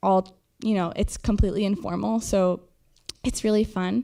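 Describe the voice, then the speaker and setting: Her tone is dark and mellow. The woman's intonation is fairly even. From Argentina. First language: Spanish. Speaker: college student. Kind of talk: speech to new students. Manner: hesitant, many fillers.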